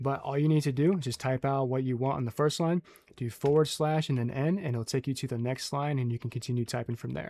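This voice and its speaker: A man talks at a very fast pace in a dark, mellow tone. His medium pitch keeps a fairly even intonation. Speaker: gaming youtuber. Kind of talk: tutorial. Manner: casual.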